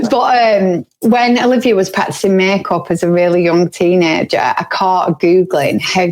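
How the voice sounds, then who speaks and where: In a northern English accent, a woman speaks at a moderate pace with lively intonation. The sound is dry and close, with no echo. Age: 40s. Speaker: podcast co-host. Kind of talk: casual chat.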